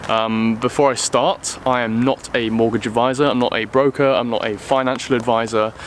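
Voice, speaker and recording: The speaker has a British accent and fairly even intonation. Background noise is noticeable. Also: man. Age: 20s. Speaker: car vlogger. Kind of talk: casual vlog talk. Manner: hesitant with many ums.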